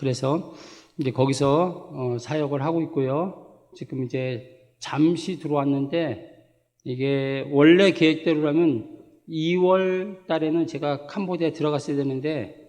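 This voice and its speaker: Speaking at a very slow pace, a man with a fairly high pitch keeps his intonation fairly even amid audible room echo. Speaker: missionary pastor. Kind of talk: sermon. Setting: church. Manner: halting, with self-corrections.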